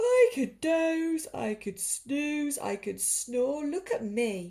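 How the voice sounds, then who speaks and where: Using a put-on character voice, a woman speaks at a high pitch with very wide pitch swings. Her pace is very slow. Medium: read story. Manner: boastful.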